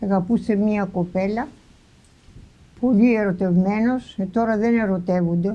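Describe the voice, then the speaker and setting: A woman's dark, mellow tone at a fairly slow pace, with fairly even intonation and long, frequent pauses. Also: medium pitch for a woman. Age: 80s+. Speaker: farmer. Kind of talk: interview answer.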